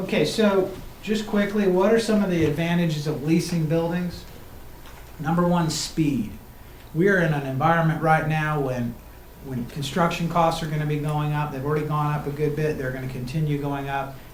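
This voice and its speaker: The voice has ordinary pitch variation, with noticeable background noise and audible room echo. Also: man, fairly high pitch for a man. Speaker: construction company presenter. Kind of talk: presentation to county commissioners. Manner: fast.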